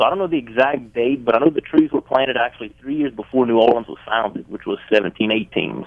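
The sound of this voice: The speech runs fast with a Louisiana accent. Pauses are few, and pitch varies in an ordinary way. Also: man. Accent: Southern US, Louisiana.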